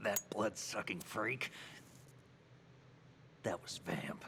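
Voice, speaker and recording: A man whispers in a raspy, put-on character voice. He goes at a very slow pace, with clear background noise behind him. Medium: video game. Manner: terse, cynical.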